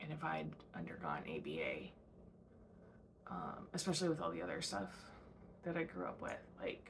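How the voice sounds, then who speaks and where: A woman with a very deep, low pitch and vocal fry speaks at a moderate pace, leaving long, frequent pauses, with audible room echo. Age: 30s. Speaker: podcast host. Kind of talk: casual monologue. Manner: hesitant, many fillers.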